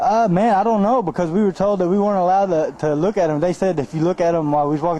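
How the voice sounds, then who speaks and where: Talking at a very fast pace, a man with an Arkansas accent shows ordinary pitch variation. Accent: Southern US (Arkansas). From US South, Arkansas (Mansfield, near Fort Smith). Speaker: professional boxer. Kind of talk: interview. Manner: casual, laid-back.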